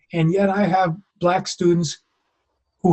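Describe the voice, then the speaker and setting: A man's high-pitched voice at a fairly slow pace. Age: 70s. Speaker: author and professor. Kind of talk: interview conversation. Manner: halting with repetitions.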